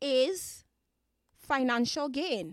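A woman with a slight Caribbean accent speaks at a high pitch in an animated tone with ordinary pitch variation. The recording is very clean, dry and close, with a silent background and no echo. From Dominica, Caribbean. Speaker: podcast host. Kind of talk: solo podcast monologue, conversational. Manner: expressive, animated, repeats words for emphasis.

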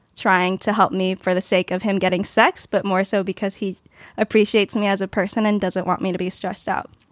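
A woman with an American accent and a plain, everyday voice, medium pitch, a fairly quick pace, and a dry, close sound with no echo. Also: very clean recording, silent background. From Los Angeles. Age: 20s. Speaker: panelist on dating show. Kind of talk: casual chat.

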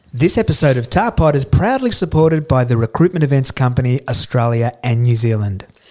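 A man talks at a fairly quick pace with hardly any pauses, his medium pitch showing ordinary variation. Noticeable background noise runs underneath. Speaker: podcast host. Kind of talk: casual interview.

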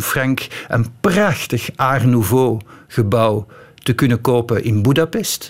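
This is a man speaking. He has a Flemish accent. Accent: Flemish Dutch. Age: 50s. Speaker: author. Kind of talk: radio interview. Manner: hesitant, many fillers.

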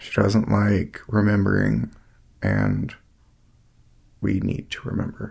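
The speaker, with an American accent, talks at a very slow pace with long, frequent pauses. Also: man. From US South, Asheville, North Carolina. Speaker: brother of a fallen Marine. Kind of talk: interview.

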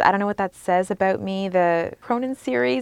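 In an ordinary speaking voice with a Canadian accent, the speaker is heard on a very clean recording against a silent background. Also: woman. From Sarnia, Ontario, Canada. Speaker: investigative journalist and author. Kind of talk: interview conversation.

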